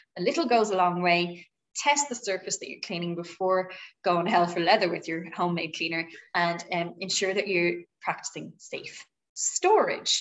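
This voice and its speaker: At a moderate pace, a woman speaks with ordinary pitch variation and big swings in loudness. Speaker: presenter. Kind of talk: tutorial. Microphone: video call.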